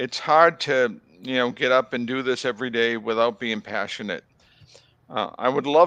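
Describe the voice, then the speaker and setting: Here a man with a slight Boston accent speaks in a bright, sharp tone at a moderate pace, medium in pitch with ordinary variation. The sound is dry and close with no echo, and the background is quiet. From Boston area, US. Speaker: tobacco control researcher. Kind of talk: interview.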